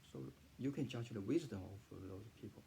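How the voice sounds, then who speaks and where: With a Chinese accent, a man talks in a dark, mellow tone with vocal fry and lively intonation. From southern China. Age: 40s. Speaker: freelance writer and translator. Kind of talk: personal testimony. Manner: halting, many fillers and repetitions.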